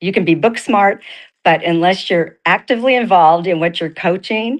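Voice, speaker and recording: A woman's normal speaking voice at a medium pitch and a moderate pace. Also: ordinary pitch variation. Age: 60s. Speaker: network marketing coach for women. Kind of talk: motivational talk.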